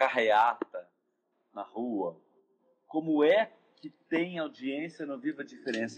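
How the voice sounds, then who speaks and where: With an ordinary speaking voice, a man talks in lively intonation at a fairly high pitch. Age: 50s. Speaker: actor and theatre director. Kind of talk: casual interview chat. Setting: Instagram live video call.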